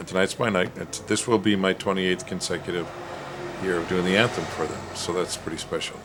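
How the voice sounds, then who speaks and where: A man speaks very fast in a very deep, low pitch. His delivery is monotone and flat, with noticeable background noise behind him. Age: 60s. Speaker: singer. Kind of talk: interview. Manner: halting.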